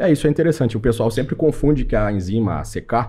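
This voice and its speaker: Speaking very fast, this voice has a dark, mellow tone, vocal fry, and lively intonation. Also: man. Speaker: medical doctor. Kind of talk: podcast interview. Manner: casual.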